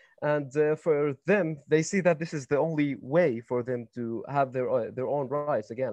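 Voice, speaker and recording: A man speaks at a fairly high pitch with an Arabic accent and a dark, mellow tone. The sound is dry and close, with no echo. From West Bank, Palestine (Nablus). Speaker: panel speaker in dialogue event. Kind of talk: heated debate. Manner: halting, many fillers.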